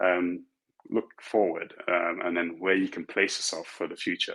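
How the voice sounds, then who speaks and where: In an English accent, a man talks at a moderate pace. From London, England. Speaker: tech executive. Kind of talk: panel talk giving career advice. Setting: virtual conference. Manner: halting, many fillers and restarts.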